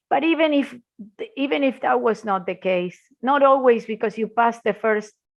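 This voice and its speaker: With an Argentine accent, a woman speaks at a moderate pace. Her pitch varies in an ordinary way. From Argentina. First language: Spanish. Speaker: intellectual property lawyer, law firm founder. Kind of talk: podcast interview.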